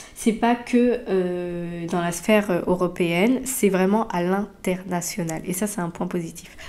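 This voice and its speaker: A woman talks at a very slow pace with hardly any pauses, her medium-pitched voice dark and mellow, her intonation fairly even. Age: 30s. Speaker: podcaster. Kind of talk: solo podcast monologue. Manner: halting with many fillers.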